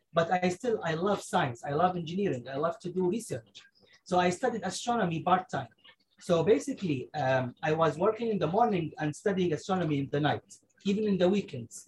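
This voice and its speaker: A man with an Arabic accent talks at a fairly quick pace in a high pitch with lively intonation. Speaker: engineer and space researcher. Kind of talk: casual chat. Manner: halting.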